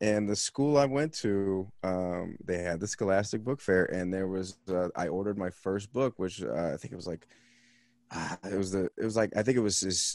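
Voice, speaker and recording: Against a quiet background, a man with an American accent speaks at a fairly quick pace with a very deep, low pitch. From Los Angeles, US. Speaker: comedian and podcaster. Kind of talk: casual chat. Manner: halting.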